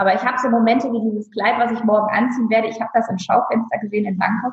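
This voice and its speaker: A woman speaks at a fairly high pitch. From northern Germany (Friesland). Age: 30s. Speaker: stylist and image consultant. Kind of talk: casual interview.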